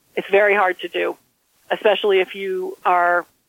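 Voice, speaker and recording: A woman talks at a medium pitch. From Maine, Millinocket. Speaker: hospital CEO, former nurse. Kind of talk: interview.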